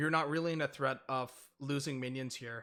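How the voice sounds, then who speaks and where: With music playing behind him, a man speaks at a fairly quick pace in a fairly high pitch. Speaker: video game coach. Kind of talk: gameplay review coaching session. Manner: fast.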